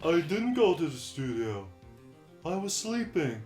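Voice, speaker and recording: Putting on a character voice, a man speaks in a high pitch with very wide pitch swings at a fairly slow pace. Clear music plays in the background. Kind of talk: video game dub.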